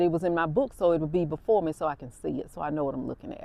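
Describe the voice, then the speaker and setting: Talking very fast in an animated tone, a woman with an Alabama accent has a fairly low voice. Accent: Southern US (Alabama). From US South, Alabama. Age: 60s. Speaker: podcast host and nurse. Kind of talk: casual monologue, storytelling. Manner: conversational, animated.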